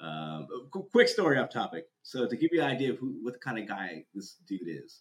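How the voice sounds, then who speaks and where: Vocal fry colors this man's medium-pitched voice. He talks at a moderate pace with very wide pitch swings. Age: 30s. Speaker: drift community content creator. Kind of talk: casual chat.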